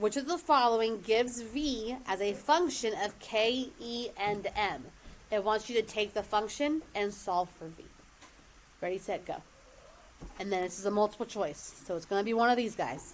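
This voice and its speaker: With a plain, everyday voice, a woman speaks at a moderate pace and a fairly high pitch, her intonation lively. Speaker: math teacher. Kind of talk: classroom lesson. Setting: classroom with students.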